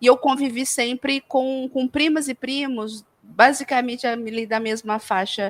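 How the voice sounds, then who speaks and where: High in pitch with ordinary variation, a woman speaks at a fairly slow pace. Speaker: podcast co-host. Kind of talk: casual chat.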